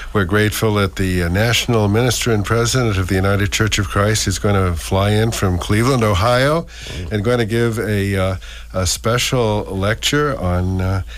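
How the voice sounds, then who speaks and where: Over noticeable background noise, a man with a fairly low voice talks at a moderate pace, with very even loudness and ordinary pitch variation. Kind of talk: radio interview on local history.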